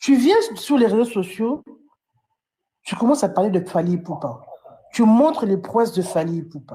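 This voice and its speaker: At a moderate pace, a woman of medium pitch speaks with very wide pitch swings, long, frequent pauses, a dark, mellow tone and a somewhat breathy quality. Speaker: fan commentator. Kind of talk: live stream commentary. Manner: animated.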